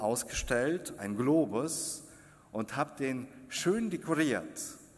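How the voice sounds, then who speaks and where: The room echo is audible as a man with a fairly high pitch speaks at a very slow pace. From Kazakhstan. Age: 50s. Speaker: preacher. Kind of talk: sermon. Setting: church.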